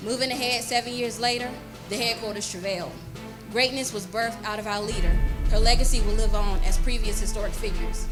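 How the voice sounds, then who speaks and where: With music in the background, a woman talks at a very fast pace. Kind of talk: spoken word poetry performance. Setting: live church service.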